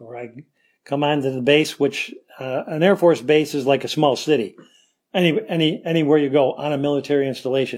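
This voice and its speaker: A man with a Western New York accent talks at a fairly quick pace and fairly high pitch, his loudness swinging widely. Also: ordinary pitch variation. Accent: Western New York American. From US Northeast (Rochester, New York). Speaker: retired police officer and Air Force veteran. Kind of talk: interview storytelling. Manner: rambling, with many fillers.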